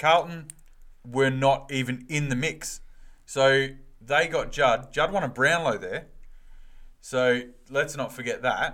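A man with an Australian accent talks at a very slow pace with long, frequent pauses, his pitch fairly high and his tone bright and sharp. The intonation is fairly even, and the recording is very clean with a silent background. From Western Australia. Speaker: footy podcast co-host. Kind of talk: casual chat.

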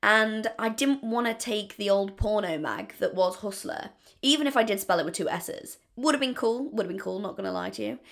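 Pitched fairly high, a woman talks at a fairly quick pace with hardly any pauses, ordinary pitch variation and vocal fry. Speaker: podcaster. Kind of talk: solo casual monologue intro. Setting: home, bathroom floor. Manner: fast talker; rambling, casual.

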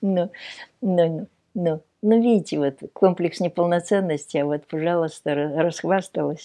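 In a very slow delivery, a woman with a fairly low pitch and a dark, mellow tone uses ordinary pitch variation and big swings in loudness against a quiet background. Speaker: sculptor. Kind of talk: casual interview.

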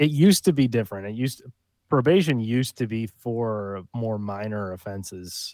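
A man's dark, mellow tone with big swings in loudness, dry and close with no echo, on a very clean recording with a silent background. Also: medium pitch for a man, ordinary pitch variation, moderate pace. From upstate New York, Rochester area. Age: 30s. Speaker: former probation officer. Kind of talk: casual chat.

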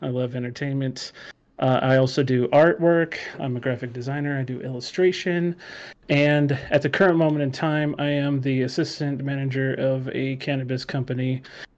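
Here is a man with a normal speaking voice at a medium pitch. He talks at a moderate pace with fairly even intonation. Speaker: graphic designer and gamer. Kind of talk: casual chat. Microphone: too quiet.

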